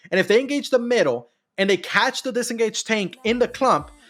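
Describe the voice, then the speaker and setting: Music plays behind a man who talks at a very fast pace. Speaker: video game guide streamer. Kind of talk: livestream tutorial. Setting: live stream with chat. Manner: repetitive, hesitant with fillers.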